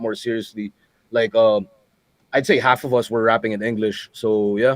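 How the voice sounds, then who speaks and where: A man's medium-pitched, flat monotone at a moderate pace. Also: dry, close sound with no echo. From Philippines. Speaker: battle rap league founder. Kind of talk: casual interview. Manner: casual, many filler words.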